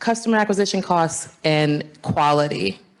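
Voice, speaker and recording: Over noticeable background noise, a woman with a fairly low pitch and very wide pitch swings speaks at a moderate pace. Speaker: panel moderator. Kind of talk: panel discussion. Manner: loud.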